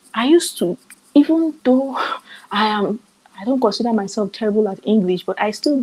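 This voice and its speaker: A woman with a Nigerian accent speaks at a fairly quick pace in a fairly high voice with lively intonation. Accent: Nigerian, clear. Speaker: summit speaker on author business. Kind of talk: online seminar talk. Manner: clear enunciation.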